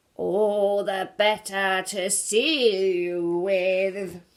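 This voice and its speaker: A woman puts on a character voice at medium pitch. She talks at a very slow pace. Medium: read story. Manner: snarling, putting on softness.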